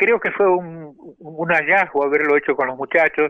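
Someone with a Rioplatense accent speaks fairly slowly with ordinary pitch variation. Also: man. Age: 80s+. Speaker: tango pianist. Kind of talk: interview.

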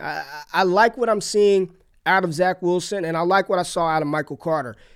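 A man with a high voice speaks at a fairly quick pace. His pitch varies in an ordinary way. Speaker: fantasy football podcast host. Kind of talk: casual sports chat. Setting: remote recording with headset mic. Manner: animated.

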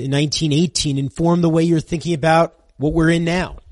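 A man with a plain, everyday voice, fairly high in pitch, fairly even in intonation, at a moderate pace over a quiet background. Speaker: radio host. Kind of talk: radio interview.

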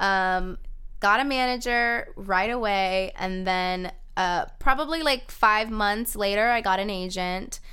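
Speaking at a fairly slow pace with an American accent, the voice has ordinary pitch variation and is an unremarkable speaking voice. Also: woman, fairly high pitch for a woman. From Florida, Kissimmee. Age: 20s. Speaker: actress. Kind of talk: casual interview chat.

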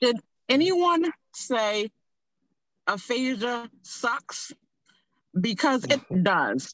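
A woman's high voice with very wide pitch swings, at a very slow pace with long, frequent pauses. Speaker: stroke survivor. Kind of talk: casual chat. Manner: halting.

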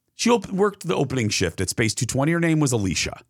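Vocal fry runs through speech delivered at a very fast pace with very wide pitch swings. The recording is very clean, with a silent background. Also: man. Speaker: podcast host, TV and radio host. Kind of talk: casual chat.

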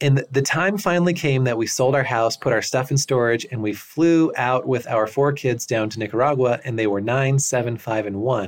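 A man talks at a moderate pace. His voice is medium in pitch. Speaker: tax accountant and course creator. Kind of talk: interview-style testimony of success story.

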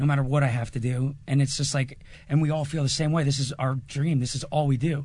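With an American accent, a man speaks very fast at a fairly high pitch, his intonation monotone and flat and his voice somewhat breathy. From New Jersey. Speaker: band singer. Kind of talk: casual interview. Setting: live music venue.

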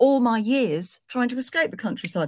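A woman speaks with an English accent, using very wide pitch swings at a moderate pace. The sound is dry and close, with no echo. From southwest England. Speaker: singer and novelist. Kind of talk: storytelling.

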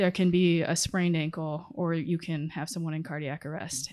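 A woman with an American accent has a plain, everyday voice, fairly low in pitch with ordinary pitch variation. She speaks at a moderate pace against a quiet background. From Connecticut, US. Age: 20s. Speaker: medical resident. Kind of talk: interview. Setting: in person.

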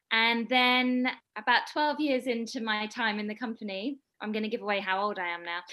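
A woman's fairly high voice with a British accent, a bright, sharp tone, ordinary pitch variation and a fairly quick pace. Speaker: dancer and actor. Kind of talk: interview.

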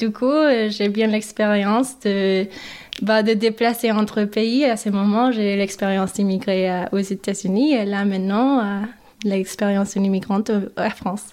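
A woman speaks with an English accent at a fairly slow pace, her pitch medium. Her intonation is monotone and flat, and her loudness stays very even. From Mexico, then US Midwest from age 11. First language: English (speaking French). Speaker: podcast guest. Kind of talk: interview. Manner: halting, many hesitations.

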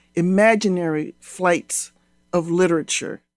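Music plays behind a woman speaking very slowly at a medium pitch. The sound is dry and close, with no echo. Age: old. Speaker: literature professor. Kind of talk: interview.

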